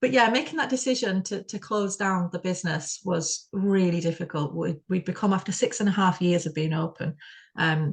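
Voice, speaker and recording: Over a quiet background, a woman with a West Yorkshire accent speaks at a moderate pace in a somewhat breathy, medium-pitched voice with ordinary pitch variation. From Bradford, UK. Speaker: spoken word performance artist. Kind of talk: interview answer.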